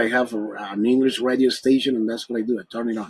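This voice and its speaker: A man speaks with a Spanish accent at a moderate pace. His pitch is medium. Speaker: English teacher. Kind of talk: tutorial.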